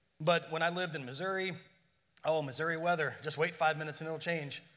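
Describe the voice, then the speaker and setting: Some room echo is audible as a man speaks at a fairly high pitch in a bright, sharp, animated tone. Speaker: pastor. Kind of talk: sermon.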